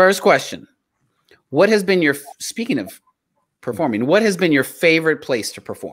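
A man with an American accent speaks at a moderate pace and a fairly high pitch, with very wide pitch swings. Long, frequent pauses break up his speech against a quiet background. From South Texas, Mexican American. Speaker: podcast co-host. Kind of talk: casual chat. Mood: warm, friendly. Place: home room. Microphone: earbuds.

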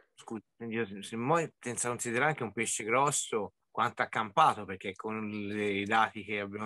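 A man talks at a moderate pace with a fairly low pitch. He has an unremarkable speaking voice. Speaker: angler.

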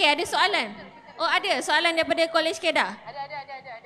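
Over light background noise, a woman speaks in a raised, projected voice. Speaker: event organizer; session moderator. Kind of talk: announcements. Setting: stage with audience. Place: tent. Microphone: handheld.

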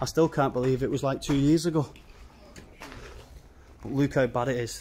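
A man speaks over light background noise. His intonation stays fairly even. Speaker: urban explorer vlogger. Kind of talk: casual vlog chat. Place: factory. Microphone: phone near.

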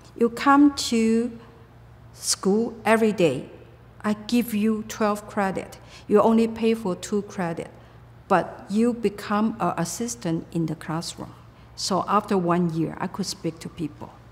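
A woman's medium-pitched voice at a fairly slow pace. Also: ordinary pitch variation. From Taiwan. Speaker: retired computer company owner. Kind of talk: interview answer. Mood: reflective, calm. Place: home room.

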